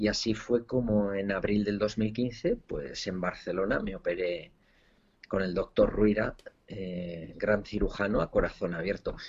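Pitch varies in an ordinary way. The delivery is fairly slow. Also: man, fairly low pitch for a man. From Spain. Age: 40s. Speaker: entrepreneur and author. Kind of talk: interview testimony. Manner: halting, with repeated words.

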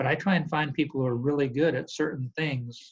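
Using fairly even intonation, a man with an American accent and fairly high pitch talks at a very fast pace. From Montana, US. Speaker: construction executive. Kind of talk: interview. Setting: video call.

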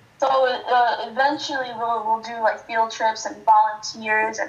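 Noticeable background noise sits behind a woman's fairly high voice. She talks fairly slowly with fairly even intonation. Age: 20s. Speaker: college student and nonprofit founder. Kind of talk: casual interview chat.

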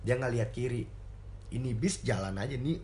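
Vocal fry runs through this man's voice. He speaks at a fairly quick pace. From Indonesia. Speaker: Indonesian student abroad. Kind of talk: casual chat.

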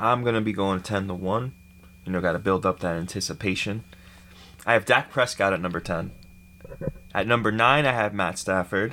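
A man talks at a fairly quick pace in a fairly low pitch, with ordinary pitch variation and a bright, sharp tone. His speech has long, frequent pauses. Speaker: podcast co-host. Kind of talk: casual sports debate.

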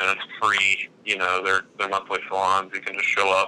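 A man with an Alabama accent talks at a fairly quick pace. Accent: Alabama Southern US. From Alabama (Gadsden). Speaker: video producer and freelance cinematographer. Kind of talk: casual interview.

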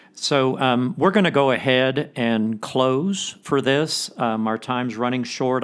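A man's normal speaking voice at medium pitch, fairly slow in pace, with ordinary pitch variation. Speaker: podcast host. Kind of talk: scripture reading and prayer, then interview.

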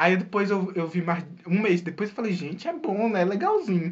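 A man talking at a moderate pace. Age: young. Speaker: podcast co-host. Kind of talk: casual chat.

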